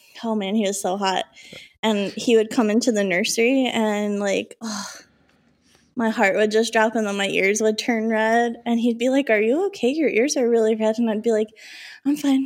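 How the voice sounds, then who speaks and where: Speaking with an American accent, a woman has a fairly high pitch and fairly even intonation at a moderate pace. The recording is very clean, with a silent background. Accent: Minnesota accent, stronger when drinking. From Minnesota. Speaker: podcast co-host. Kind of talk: casual chat.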